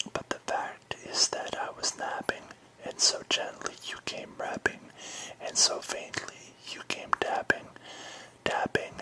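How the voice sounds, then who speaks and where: Someone whispers in a soothing tone at a very slow pace over noticeable background noise. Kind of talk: poetry reading. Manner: whispered, soothing.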